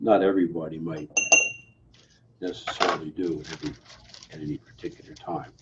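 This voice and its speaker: A man talks quietly at a moderate pace over noticeable background noise. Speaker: pharmacy instructor. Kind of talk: lab demonstration tutorial. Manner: quiet, low-volume; casual, self-correcting.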